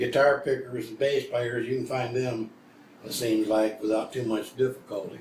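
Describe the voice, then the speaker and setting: A man talks at a moderate pace in a medium, somewhat breathy voice. His intonation is flat and monotone. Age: old. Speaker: old-time country musician. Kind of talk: casual interview. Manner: halting.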